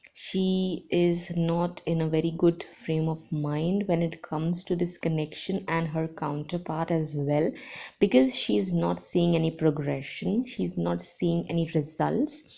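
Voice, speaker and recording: Fairly low in pitch with ordinary pitch variation, a woman with an unremarkable speaking voice talks at a fairly slow pace. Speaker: tarot reader and channeler. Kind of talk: tarot reading monologue.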